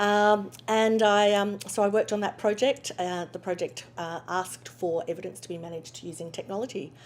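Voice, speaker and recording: A woman with an Australian accent, medium in pitch, at a moderate pace with hardly any pauses and big swings in loudness. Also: ordinary pitch variation. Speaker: legal technology company founder. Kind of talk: interview. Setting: conference.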